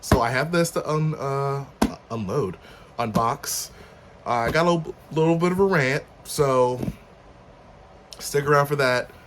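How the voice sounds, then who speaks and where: Through noticeable background noise, a man with a fairly high pitch talks at a fairly slow pace, leaving long, frequent pauses. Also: ordinary pitch variation. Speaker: commentary youtuber. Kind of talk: casual rant.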